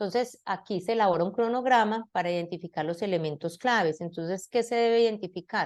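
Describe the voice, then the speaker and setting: Against a quiet background, a woman talks at a moderate pace at a medium pitch. She has a normal speaking voice with lively intonation. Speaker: university lecturer in science education. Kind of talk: lecture.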